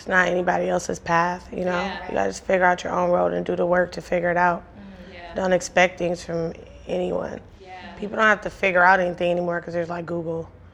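A woman's fairly low voice at a very fast pace, monotone and flat, with big swings in loudness and noticeable background noise. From Los Angeles, Compton. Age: 30s. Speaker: entrepreneur. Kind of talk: casual chat.

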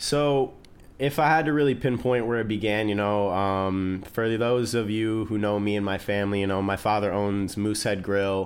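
A man with a Midwestern American accent speaks at a moderate pace in a fairly low pitch with ordinary pitch variation. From US Midwest, small-town Ohio. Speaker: chef. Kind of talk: casual chat. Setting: studio. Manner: talkative.

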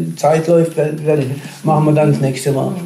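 Speech comes at a fairly slow pace with audible room echo and noticeable background noise. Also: man. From Karlsruhe area, Baden, Germany. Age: 60s. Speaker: retiree telling his faith story. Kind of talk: testimony.

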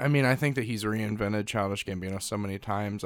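This very clean recording, with a silent background, carries a man's fairly low-pitched voice. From Missouri, US Midwest. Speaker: podcast host. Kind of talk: casual chat.

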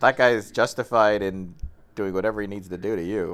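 The background is silent in this very clean recording. A man with a fairly low pitch speaks at a moderate pace. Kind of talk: casual chat. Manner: animated.

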